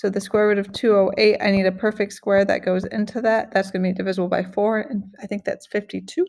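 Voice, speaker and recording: A woman at medium pitch, very fast and monotone, with hardly any pauses. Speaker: math teacher. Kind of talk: tutorial. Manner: casual, with fillers.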